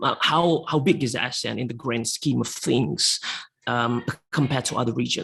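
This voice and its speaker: A speaker with an Indonesian accent talks at a moderate pace. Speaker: panel speaker on economics. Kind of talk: webinar presentation. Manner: halting, many fillers.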